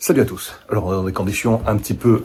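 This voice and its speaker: Quiet, a man speaks at a moderate pace. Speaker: stock market YouTuber. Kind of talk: casual video monologue on investing. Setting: doctor's waiting room. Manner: speaking quietly.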